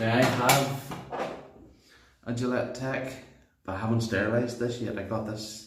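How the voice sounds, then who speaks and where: In a Northern Irish accent, the speaker keeps a monotone, flat intonation, with audible room echo in the recording. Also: man. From Northern Ireland. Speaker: shaving video creator. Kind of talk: casual tutorial monologue.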